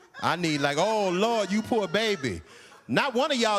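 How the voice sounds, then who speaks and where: Over noticeable background noise, a man with a high pitch speaks in a raised, projected voice at a moderate pace with an animated tone. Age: 60s. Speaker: comedian. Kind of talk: stand-up.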